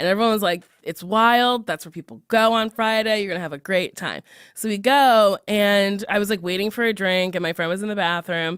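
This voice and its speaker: A woman speaks at a medium pitch with ordinary pitch variation. She leaves hardly any pauses, and the sound is dry and close with no echo. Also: fairly quick pace. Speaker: podcast host. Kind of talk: casual chat. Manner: loud.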